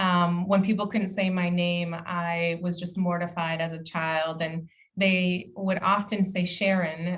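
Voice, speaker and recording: A woman speaks at a fairly slow pace in a fairly low, somewhat breathy voice with a monotone, flat delivery. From immigrant to the US, grew up partly in the US. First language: not English. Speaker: county equity officer. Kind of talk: conference presentation.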